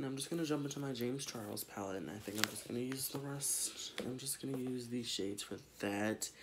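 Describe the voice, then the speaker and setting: Loud background noise sits behind a man talking at a fairly quick pace with hardly any pauses and ordinary pitch variation. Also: medium pitch for a man. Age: 20s. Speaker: beauty vlogger. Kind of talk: makeup tutorial. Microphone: phone near.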